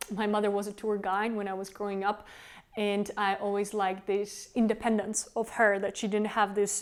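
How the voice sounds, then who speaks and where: A woman with a Czech accent talks at a moderate pace, her medium pitch held in a monotone, flat intonation. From Czech Republic, Prague. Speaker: tour guide and company founder. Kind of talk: self-interview.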